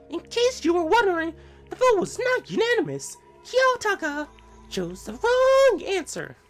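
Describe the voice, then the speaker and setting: Faint music plays behind a man doing a squeaky, put-on character voice at an extremely high pitch and a moderate pace. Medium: game stream. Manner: put-on, exaggerated and mocking.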